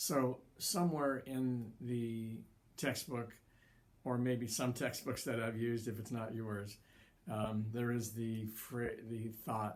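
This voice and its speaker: Delivered at a very slow pace, the speech carries audible room echo. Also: man, medium pitch for a man. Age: 60s. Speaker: college psychology instructor. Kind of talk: lecture. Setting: recorded online lecture. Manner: hesitant, filler-heavy; varying pace, sometimes slow.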